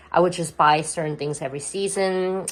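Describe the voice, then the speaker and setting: Her pace fairly quick, a woman with a non-native accent speaks at a fairly low pitch. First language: not English. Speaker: lifestyle vlogger. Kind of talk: home tour vlog. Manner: casual, hesitant with fillers.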